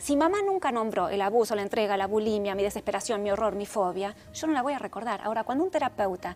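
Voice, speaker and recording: With music in the background, a woman speaks very fast at a fairly high pitch with ordinary pitch variation. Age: 60s. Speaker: therapist and author. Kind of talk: interview.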